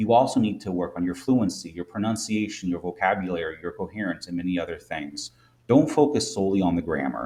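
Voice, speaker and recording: A very deep, low male voice in a Midwestern American accent, dark and mellow, with lively intonation at a very fast pace. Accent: Midwest American. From US Midwest. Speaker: English teacher. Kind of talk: tutorial.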